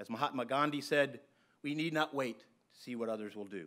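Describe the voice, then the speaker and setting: With an American accent, a man speaks at a fairly quick pace in a fairly high voice with a bright, sharp tone. His pitch variation is ordinary, and the background is quiet. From US, Pittsburgh; Pennsylvania. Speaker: university dean; introducer at a university lecture. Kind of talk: formal introduction and moderated Q&A. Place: hall. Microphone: podium.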